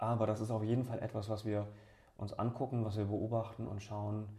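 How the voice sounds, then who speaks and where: This man's voice is somewhat breathy, with a dark, mellow tone and a fairly low pitch, moving at a moderate pace. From Bremen, northern Germany. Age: 30s. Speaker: regional politician and entrepreneur. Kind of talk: interview. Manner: hesitant with fillers.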